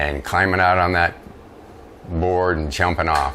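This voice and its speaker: The speech moves at a moderate pace with ordinary pitch variation, set against noticeable background noise and audible room echo. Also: man. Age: 60s. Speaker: retired letter carrier, woodworking YouTuber. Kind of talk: casual storytelling vlog. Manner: conversational, with fillers.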